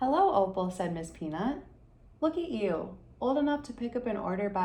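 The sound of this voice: What you hear is someone reading in an unforced voice.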